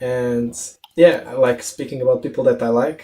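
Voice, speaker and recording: A man's voice carries a dark, mellow tone at medium pitch. His intonation stays fairly even. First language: not English. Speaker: podcast host. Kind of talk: casual interview. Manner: halting, many repetitions and fillers.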